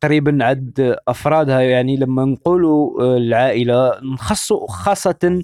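With an Algerian accent, a man speaks at a fairly high pitch using lively intonation. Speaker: online radio host. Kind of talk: radio talk show monologue. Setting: online radio broadcast.

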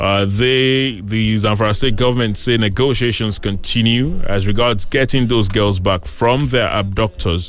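Over music in the background, a man speaks fairly slowly in a fairly low pitch, with a warm, upbeat tone, very even loudness and hardly any pauses. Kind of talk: radio DJ patter with show opening and news headlines, station greeting and date and time. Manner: warm, upbeat, welcoming, fluent.

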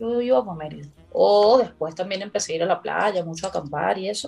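Fairly quick speech from a woman, background noise clearly present. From Venezuela. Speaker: psychologist and traveler. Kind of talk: interview.

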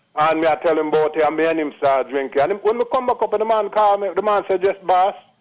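A man speaks with a Jamaican accent. His voice sits high in pitch, with ordinary pitch variation. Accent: Jamaican Patois. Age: 60s. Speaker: caller. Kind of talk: testimony.

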